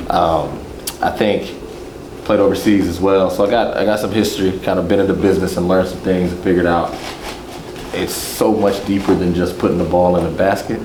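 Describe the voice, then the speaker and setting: A man with a very deep, low pitch talks at a fairly quick pace in an American accent, his intonation monotone and flat. Noticeable background noise and audible room echo fill the recording. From Texas, San Antonio. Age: 40s. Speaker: former pro basketball player. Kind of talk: casual group introduction.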